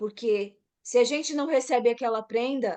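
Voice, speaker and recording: A woman with a high voice talks at a moderate pace over a quiet background. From Brazil, São Paulo. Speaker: massage therapist. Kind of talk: casual chat.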